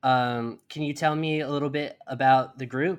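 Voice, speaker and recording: Against a quiet background, a man with an ordinary speaking voice talks at a moderate pace with fairly even intonation. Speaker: podcast host. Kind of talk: interview. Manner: conversational, frequent backchannels.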